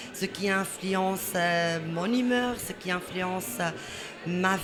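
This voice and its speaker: A woman speaks at a very slow pace with a medium pitch and ordinary pitch variation. Music plays in the background, and room echo is audible. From Morocco. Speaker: interviewee. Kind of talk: testimony.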